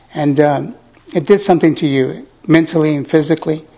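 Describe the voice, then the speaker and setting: A man with an American accent, fairly high in pitch and fairly even in intonation, at a moderate pace amid noticeable background noise. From Southern California. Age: 60s. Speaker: war veteran. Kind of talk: testimony. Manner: halting, many fillers.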